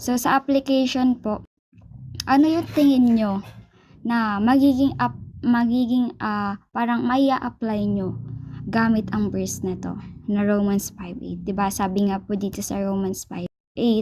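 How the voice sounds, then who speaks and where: A woman speaks at a fairly slow pace with lively intonation, music playing in the background. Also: medium pitch for a woman. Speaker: church cell group leader. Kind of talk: Bible study instruction. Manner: halting.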